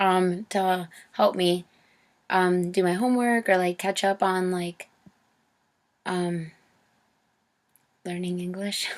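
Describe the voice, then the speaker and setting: A woman's medium-pitched voice, very slow and monotone with flat intonation, broken by long, frequent pauses. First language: Spanish. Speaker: college student, interviewee. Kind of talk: interview.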